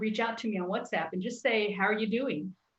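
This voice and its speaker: A somewhat breathy woman with an American accent speaks at a medium pitch with fairly even intonation. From Texas. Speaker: church youth ministry worker. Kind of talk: casual chat. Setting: live stream. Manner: halting.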